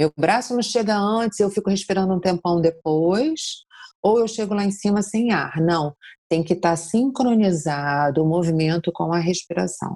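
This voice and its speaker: A woman speaks at medium pitch and a moderate pace, with ordinary pitch variation, in an unremarkable speaking voice. The recording is very clean, with a silent background. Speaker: yoga teacher. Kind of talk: interview.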